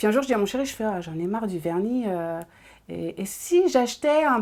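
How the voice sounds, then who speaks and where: Her intonation is lively, and this woman's pitch sits in the medium range. Behind her lies a silent background in a very clean recording. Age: 30s. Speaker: nail technician. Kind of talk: interview testimony. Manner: hesitant, many fillers.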